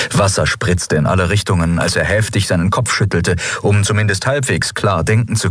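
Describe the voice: With ordinary pitch variation, the text gets a plain reading aloud.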